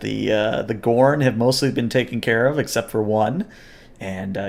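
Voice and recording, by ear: The text is read aloud in a natural voice, pitch shifting in an ordinary way.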